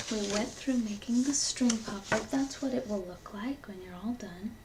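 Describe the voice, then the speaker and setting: Noticeable background noise sits behind the recording. A woman is whispering at a fairly slow pace. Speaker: ASMR creator. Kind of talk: ASMR unboxing. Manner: whispered.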